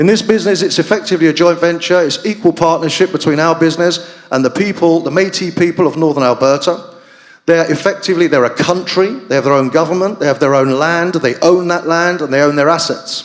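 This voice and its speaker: The speech runs at a very fast pace with hardly any pauses, ordinary pitch variation and very even loudness. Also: man, high pitch for a man. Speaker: business executive presenting at a conference panel. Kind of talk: conference presentation. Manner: hesitant, many fillers.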